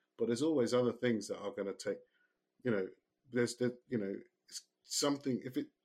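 Medium pitch from a male speaker. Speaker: podcast host and coach. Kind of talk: casual chat. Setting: remote recording. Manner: loud, animated.

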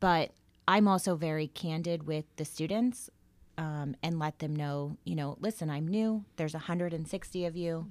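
With a normal speaking voice, a woman talks at a moderate pace, her pitch fairly low with ordinary pitch variation, in a very clean recording with a silent background. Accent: American. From Florida. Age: 40s. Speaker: high school English teacher. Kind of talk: interview.

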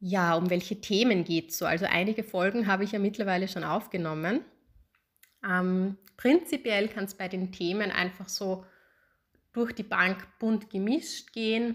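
With a plain, everyday voice, a woman talks at a moderate pace and medium pitch, with ordinary pitch variation, in a very clean recording with a silent background. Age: 30s. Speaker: podcast host, psychologist. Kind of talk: solo podcast introduction. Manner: casual with frequent fillers.

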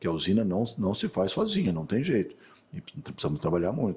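A man's somewhat breathy, dark, mellow voice with a fairly low pitch and lively intonation at a moderate pace, in a very clean recording with a silent background. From Brazil, Mato Grosso do Sul. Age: 50s. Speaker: agronomist and rancher. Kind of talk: interview.

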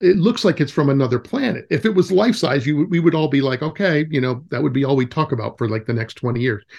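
A man's somewhat breathy, fairly high voice with lively intonation, very fast pace and hardly any pauses, against a quiet background. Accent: American. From California. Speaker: wilderness educator. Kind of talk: casual chat.

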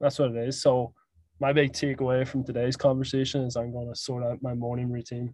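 Speaking in a Northern Irish accent, the voice has a dark, mellow tone and monotone, flat intonation. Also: man. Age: 20s. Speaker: podcast host. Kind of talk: casual chat.

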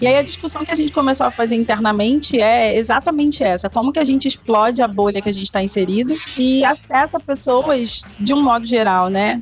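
Over music in the background, a woman speaks at a fairly quick pace in a high voice with ordinary pitch variation, very even loudness and hardly any pauses. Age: 30s. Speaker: entrepreneur and educator. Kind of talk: podcast interview. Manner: hesitant, repeats words.

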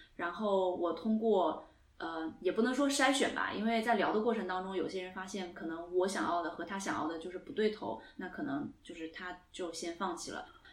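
Over noticeable background noise, a woman talks with hardly any pauses. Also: medium pitch for a woman, lively intonation, moderate pace. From Singapore. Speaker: podcast host. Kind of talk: casual chat. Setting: studio, in person.

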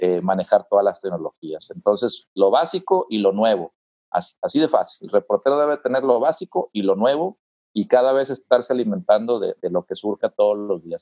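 A man at a moderate pace, in a dry, close recording with no echo. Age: 40s. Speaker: TV reporter and university lecturer. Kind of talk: interview.

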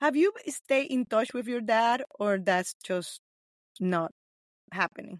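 Speaking at a very slow pace with long, frequent pauses, the voice has a Nicaraguan accent and a dry, close sound with no echo. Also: woman, fairly high pitch for a woman. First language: Spanish. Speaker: podcast host. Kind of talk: interview.

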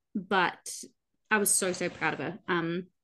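A woman with an Australian accent, fairly even intonation and a moderate pace against a quiet background. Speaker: podcast co-host, barrel racer. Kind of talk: casual chat.

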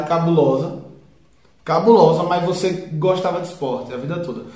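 A man talks at a fairly quick pace in a high pitch with fairly even intonation, over noticeable background noise and audible room echo. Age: 20s. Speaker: friend of host. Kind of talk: casual chat.

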